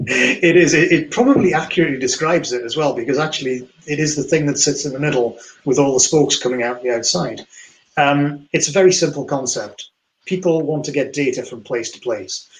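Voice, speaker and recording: A man talks at a fairly quick pace in a fairly high pitch, with ordinary pitch variation. His voice is somewhat breathy and swings widely in loudness. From north-east England (Geordie, Newcastle area). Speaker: financial technology industry specialist. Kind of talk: webinar interview discussion.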